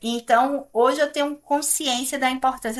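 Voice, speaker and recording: A woman speaking at a moderate pace. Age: middle-aged. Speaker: computing professor. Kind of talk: podcast interview. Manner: hesitant, many fillers.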